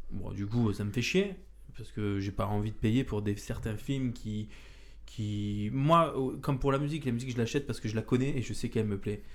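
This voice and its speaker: At a moderate pace, a man talks with ordinary pitch variation in a room with audible echo. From Marseille, southern France. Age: 30s. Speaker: podcast host. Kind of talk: casual chat. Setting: indoor room with couch.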